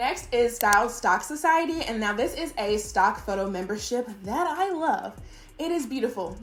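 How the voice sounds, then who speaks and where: Music plays in the background and the room echo is audible as a woman with a high pitch speaks, her pitch swinging very widely. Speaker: virtual assistant business owner and YouTuber. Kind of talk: casual tutorial talking to camera. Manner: fast; animated, chatty.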